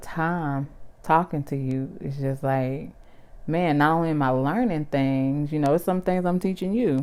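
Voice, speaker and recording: Very deep and low in pitch, a woman speaks with a Southern US accent at a fairly slow pace, her tone dark, mellow and relaxed, with ordinary pitch variation, in a very clean recording with a silent background. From US South. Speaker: vlogger. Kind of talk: casual chat. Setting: at home on couch.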